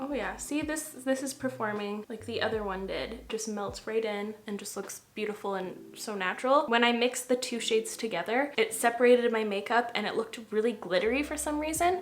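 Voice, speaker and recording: A fairly quick pace with hardly any pauses, ordinary pitch variation and noticeable background noise. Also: woman, fairly high pitch for a woman. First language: French. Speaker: makeup artist / beauty vlogger. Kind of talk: casual get-ready-with-me tutorial. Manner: relaxed, chatty.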